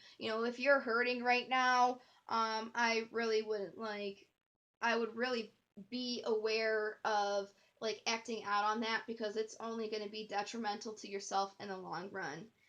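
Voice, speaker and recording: A woman with a plain, everyday voice talks at a moderate pace, her fairly high pitch held in fairly even intonation. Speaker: tarot reader. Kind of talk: tarot reading. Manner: casual, filler-heavy.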